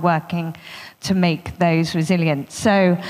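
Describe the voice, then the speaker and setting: A woman speaks in an ordinary speaking voice. Her pitch is fairly low, and her intonation is fairly even. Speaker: panel moderator. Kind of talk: moderator introduction. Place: hall. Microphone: handheld.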